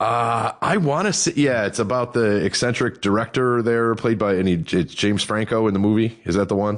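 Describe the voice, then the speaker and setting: A man with an American accent talks at a fairly quick pace with hardly any pauses, in a normal speaking voice. His pitch is medium with ordinary variation, and his loudness is very even. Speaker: podcast host. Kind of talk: casual chat. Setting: garage studio, remote call.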